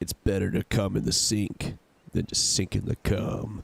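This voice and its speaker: A man puts on a character voice. It is fairly low in pitch and moves at a moderate pace. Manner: commanding, gruff.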